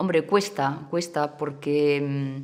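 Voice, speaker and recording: A woman with a Catalan accent talks at a very slow pace in a very deep, low pitch with fairly even intonation. Noticeable background noise runs underneath. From Catalonia, small town near Barcelona. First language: Catalan (speaking Spanish). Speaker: political activist. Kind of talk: interview. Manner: halting, many hesitations.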